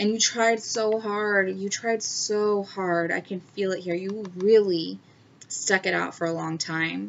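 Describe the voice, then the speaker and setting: A woman's medium-pitched voice at a very slow pace. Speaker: tarot reader. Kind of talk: tarot reading. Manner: halting.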